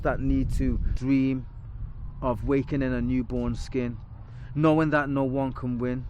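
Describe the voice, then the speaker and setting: A man with a Liverpool accent and a fairly high pitch. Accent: Liverpool (Scouse). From Liverpool, England. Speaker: spoken word poet. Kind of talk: spoken word performance. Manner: rhythmic.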